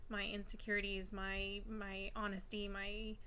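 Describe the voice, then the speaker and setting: A bright, sharp voice with monotone, flat intonation carries audible room echo. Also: woman. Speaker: stay-at-home mom vlogger. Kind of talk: casual vlog monologue. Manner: hesitant with fillers and repetitions.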